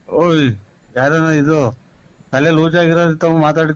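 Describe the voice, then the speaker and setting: The man's voice sits at a fairly high pitch. His intonation is monotone and flat. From Karnataka, Ballapura. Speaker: prank call target. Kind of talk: phone conversation. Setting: phone call.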